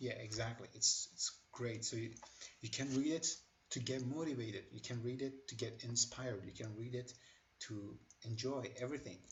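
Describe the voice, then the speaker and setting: A man speaks with a non-native accent. His pitch is medium and his intonation fairly even. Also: moderate pace. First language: not English. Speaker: tech tutorial creator. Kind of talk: tutorial. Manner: hesitant, with many fillers.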